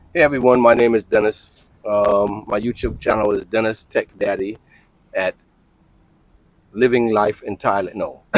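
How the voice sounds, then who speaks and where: Over a dry, close sound with no echo, a man with an American accent speaks at a medium pitch and moderate pace, with fairly even intonation and long, frequent pauses. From New York City, Lower East Side (born South Carolina). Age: 60s. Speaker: expat YouTuber. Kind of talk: casual interview.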